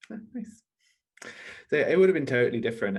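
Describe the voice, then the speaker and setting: A man speaks with a British accent. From Ecuador, raised in southeast London from age 8. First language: Spanish. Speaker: charity campaigner, conference speaker. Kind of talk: panel conversation.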